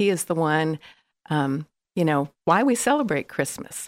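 A woman with an American accent talks at a fairly slow pace in a fairly low pitch. She has an ordinary speaking voice, and the recording is very clean with a silent background. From California. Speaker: marketing specialist. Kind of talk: casual chat.

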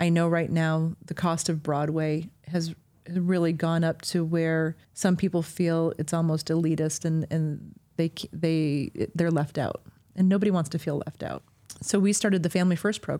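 At a moderate pace, a woman with an American accent speaks in a dark, mellow, fairly low voice with flat, monotone intonation. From Michigan, North Muskegon. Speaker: performing arts venue director. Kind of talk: interview.

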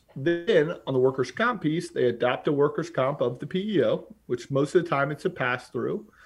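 In an American accent, a man uses an ordinary speaking voice with a fairly high pitch and lively intonation. He keeps a moderate pace with hardly any pauses. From North Carolina, Charlotte area. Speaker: business founder and CEO. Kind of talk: podcast interview.

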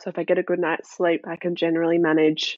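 Here a woman speaks in a medium pitch with an Australian accent. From South Australia. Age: 20s. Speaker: mental health speaker. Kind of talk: interview, personal testimony.

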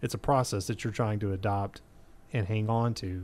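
This man has an ordinary speaking voice. He speaks at a fairly low pitch, with fairly even intonation. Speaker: college radio host. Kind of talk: interview.

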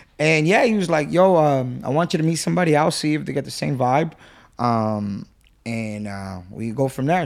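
An ordinary speaking voice from a man with an American accent, medium in pitch, fairly quick, with lively intonation, on a very clean recording with a silent background. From Whittier, Los Angeles area, California. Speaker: podcast guest. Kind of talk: casual chat.

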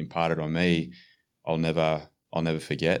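Very deep and low, a man's voice comes through with an Australian accent on a very clean recording with a silent background. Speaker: strength and conditioning coach. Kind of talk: casual chat.

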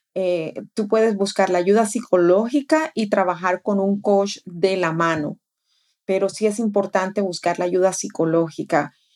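On a very clean recording with a silent background, a woman speaks at a fairly slow pace in a medium pitch. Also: ordinary pitch variation. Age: 40s. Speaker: life coach and podcast co-host. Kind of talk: casual chat.

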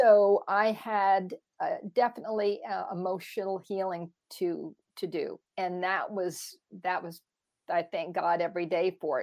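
This woman has a normal speaking voice, medium in pitch, with fairly even intonation and a fairly slow pace. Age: 60s. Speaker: longevity and anti-aging coach. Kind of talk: interview.

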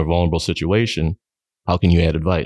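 A man at a very fast pace, against a quiet background with a dry, close sound and no echo. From southeastern Minnesota. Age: 40s. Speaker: truck driver and amateur mountain biker. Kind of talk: casual interview.

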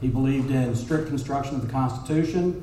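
A man speaks with monotone, flat intonation. Audible room echo and noticeable background noise fill the recording. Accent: Texan. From Texas, North Dallas. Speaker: judicial candidate, lawyer. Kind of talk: campaign speech.

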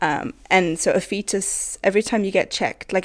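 In a very clean recording over a silent background, a woman with an unremarkable speaking voice talks with ordinary pitch variation. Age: 20s. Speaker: podcast guest. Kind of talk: casual chat.

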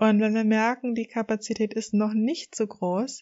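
A woman at a medium pitch. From northern Germany, Hamburg area. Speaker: coach and podcast host. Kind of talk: solo podcast monologue.

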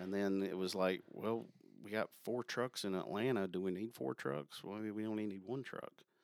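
A man with an American accent talks in an ordinary speaking voice, his fairly low pitch moving with ordinary variation. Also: moderate pace. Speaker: sales account manager. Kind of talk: casual interview chat.

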